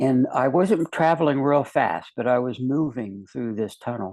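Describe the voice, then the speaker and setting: He speaks at a very slow pace with an American accent. This man's pitch is medium, with ordinary pitch variation. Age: 70s. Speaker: near-death experiencer, retired investigator and educator. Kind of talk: testimony. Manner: halting, many fillers.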